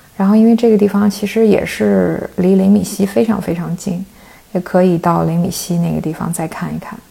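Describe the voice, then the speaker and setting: Over noticeable background noise, a woman speaks at a fairly quick pace and a medium pitch. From China, Shandong. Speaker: PhD researcher in cross-cultural communication. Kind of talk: casual interview.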